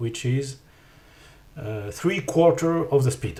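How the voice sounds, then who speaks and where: Speaking very slowly with a French accent, a man has a fairly high, somewhat breathy voice. His pitch varies in an ordinary way. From France. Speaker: 3D artist and teacher. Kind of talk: software tutorial narration.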